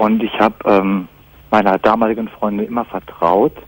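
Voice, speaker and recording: At a fairly slow pace, a man speaks in a fairly low pitch with fairly even intonation, in a dry sound with no echo. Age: 20s. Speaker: caller with jealousy problem; radio caller. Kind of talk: call-in radio talk.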